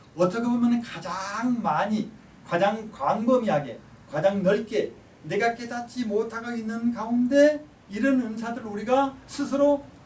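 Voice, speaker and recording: With audible room echo, a man talks in a high pitch with lively intonation. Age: 60s. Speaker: professor. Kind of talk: lecture.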